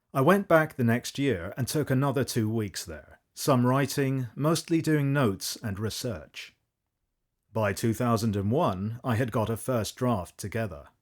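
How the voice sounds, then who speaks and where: A man talks in an ordinary speaking voice at medium pitch, with lively intonation and a fairly slow pace. The recording is very clean, with a silent background. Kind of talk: audiobook foreword reading.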